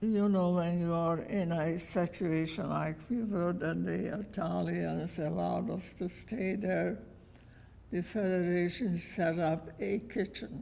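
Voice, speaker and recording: A woman talks with very even loudness, and audible room echo surrounds her voice. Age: 90s. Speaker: Holocaust survivor. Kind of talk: testimony. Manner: terse.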